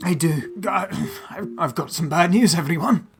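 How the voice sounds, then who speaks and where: A man puts on a raspy character voice with a high pitch. He delivers it at a fairly slow pace. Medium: actual play. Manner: warm, slightly flustered.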